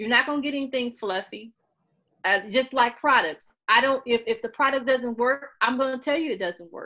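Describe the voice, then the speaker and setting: Loud and animated, a woman with an American accent speaks at a moderate pace in a high pitch, with ordinary pitch variation and a bright, sharp tone. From Missouri, US (Sikeston). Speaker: author and beauty YouTuber. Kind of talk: interview.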